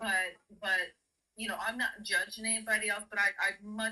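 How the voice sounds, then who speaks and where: This woman has a plain, everyday voice. She speaks at a fairly slow pace with fairly even intonation. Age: 50s. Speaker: caller, former doula. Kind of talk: casual call-in discussion.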